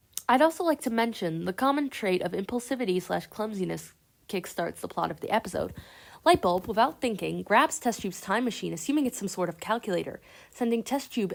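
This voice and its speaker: On a very clean recording with a silent background, a woman talks at a very fast pace. Her medium-pitched voice has lively intonation and vocal fry. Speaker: animation commentary youtuber. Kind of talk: video essay commentary.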